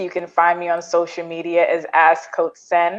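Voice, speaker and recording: With an unremarkable speaking voice, a woman talks at a moderate pace and a medium pitch. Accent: American. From Brooklyn, New York (Caribbean household). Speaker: therapist and career coach. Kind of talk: panel discussion.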